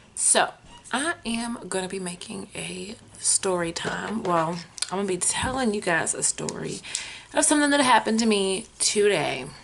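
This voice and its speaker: Amid noticeable background noise, a woman speaks at a moderate pace and medium pitch, her intonation lively. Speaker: vlogger. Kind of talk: storytime vlog. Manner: animated.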